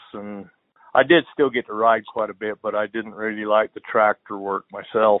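A man speaks in a western US accent at a fairly low pitch. His intonation stays fairly even. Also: moderate pace. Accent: rural western US. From Utah. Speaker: horse trainer. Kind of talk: casual interview.

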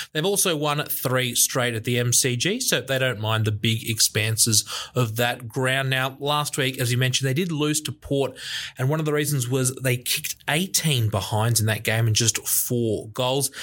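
A man talks with an Australian accent. His loudness stays very even. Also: medium pitch for a man, ordinary pitch variation, moderate pace. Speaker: podcast co-host. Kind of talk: casual sports chat.

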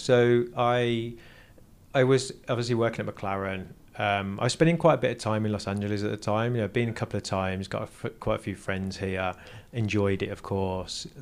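A man with an English accent talks at a fairly quick pace in a fairly low pitch with ordinary pitch variation. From England, Burton upon Trent. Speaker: automotive engineer and entrepreneur. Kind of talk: casual interview.

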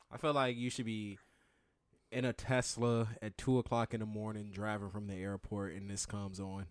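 The recording is very clean with a silent background, and a man's fairly low voice proceeds at a moderate pace. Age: 20s. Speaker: podcast co-host. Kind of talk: casual chat. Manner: animated.

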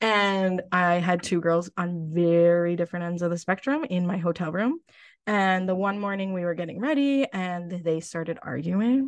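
An unremarkable speaking voice with an American accent talks at a moderate pace. Pitch variation is ordinary, and the background is quiet. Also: woman, fairly low pitch for a woman. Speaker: former pageant contestant. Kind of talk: casual interview.

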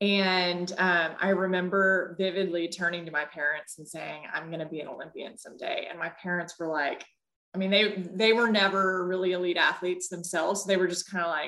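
A woman with an American accent and a medium pitch speaks at a fairly quick pace, monotone and flat, with hardly any pauses and big swings in loudness. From Texas. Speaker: former Olympic athlete. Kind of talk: interview testimony. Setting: video call.

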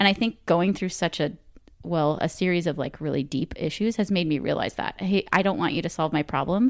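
A woman with an ordinary speaking voice and a fairly low pitch speaks at a fairly quick pace with ordinary pitch variation, captured in a very clean recording against a silent background. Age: 30s. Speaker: podcast guest, mother. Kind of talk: casual chat. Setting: home recording corner.

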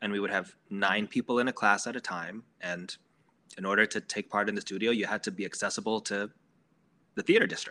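In an American accent, a man with a fairly low pitch and a bright, sharp tone talks at a fairly quick pace in a monotone, flat intonation, on a very clean recording with a silent background and a dry, close sound with no echo. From Maryland, US. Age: 40s. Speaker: theater performer, director and teacher. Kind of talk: casual chat.

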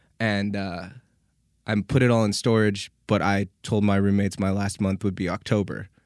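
A man's fairly low, monotone voice with flat intonation at a moderate pace, on a very clean recording with a silent background. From Winnipeg, Canada. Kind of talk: casual interview chat.

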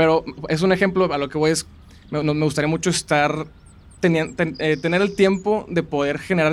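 With a plain, everyday voice, a man talks at a fairly quick pace and fairly high pitch, using ordinary pitch variation. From Monterrey, Mexico. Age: 20s. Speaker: food content creator. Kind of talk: interview. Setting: outdoors in a park.

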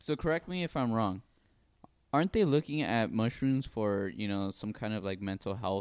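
Using a normal speaking voice, a man speaks at medium pitch and moderate pace with lively intonation, in a dry, close sound with no echo. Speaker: podcast co-host. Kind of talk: casual banter.

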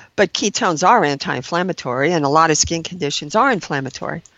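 Her voice is an unremarkable speaking voice, a woman's at fairly low pitch with lively intonation. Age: 60s. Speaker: registered nurse. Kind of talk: interview.

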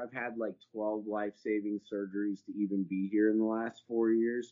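A man speaks with a Texan accent at a medium pitch. His pace is moderate. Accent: Texan American. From Texas. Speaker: cannabis entrepreneur. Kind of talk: interview conversation.

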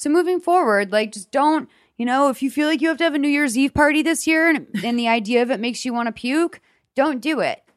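In a very clean recording with a silent background, a woman with an American accent talks at a very fast pace in a high pitch, with ordinary pitch variation. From Boston. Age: 30s. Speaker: podcast host. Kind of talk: casual advice chat.

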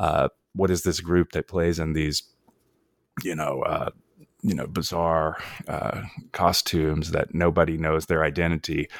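In an American accent, a man with a very deep, low pitch talks at a fairly slow pace in a monotone, flat intonation, leaving long, frequent pauses, on a very clean recording with a silent background and a dry, close sound with no echo. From North Carolina. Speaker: author. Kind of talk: interview. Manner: halting, many fillers and repeats.

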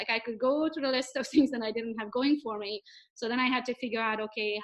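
Speaking at a fairly quick pace, a woman uses a fairly high voice with ordinary pitch variation. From Romania, Hungarian minority. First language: Hungarian. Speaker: real estate agent and social media coach. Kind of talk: interview. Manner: animated.

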